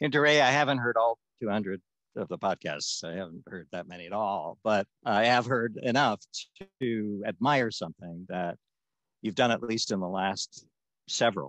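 The sound is dry and close with no echo and a quiet background. A man speaks at a moderate pace and fairly low pitch with ordinary pitch variation. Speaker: interviewer and moderator. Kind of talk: interview. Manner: halting, many fillers.

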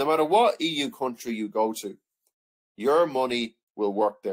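A man with an Irish accent, medium pitch and a moderate pace. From Ireland. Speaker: history teacher. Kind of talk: lecture. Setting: online video lesson.

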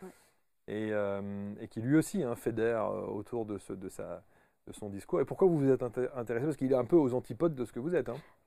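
Against a quiet background with a dry, echo-free sound, a man with a dark, mellow tone talks at a fairly quick pace, his intonation lively and his loudness swinging widely. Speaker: talk show host. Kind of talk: interview. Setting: studio. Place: studio. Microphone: lapel.

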